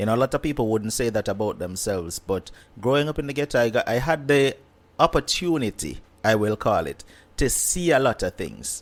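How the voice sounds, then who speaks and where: Talking at a fairly quick pace, a man with a Jamaican accent uses a medium pitch and lively intonation. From Kingston, Jamaica. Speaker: YouTube content creator. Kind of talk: interview conversation.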